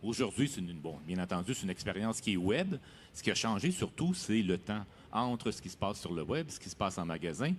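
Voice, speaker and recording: In a very clean recording with a silent background, a man talks fairly quickly in a fairly low voice with lively intonation. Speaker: software company executive. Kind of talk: interview. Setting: studio at a trade fair. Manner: hesitant, many fillers.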